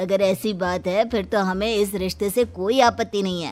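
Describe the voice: A woman puts on a cartoonish character voice at medium pitch. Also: moderate pace.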